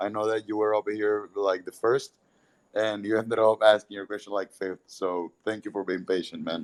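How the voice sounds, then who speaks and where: In a Spanish accent, a man speaks in a monotone, flat delivery with a fairly low pitch. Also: moderate pace, dry, close sound with no echo. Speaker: Twitter Spaces host for crypto project. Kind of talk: live audio Q&A.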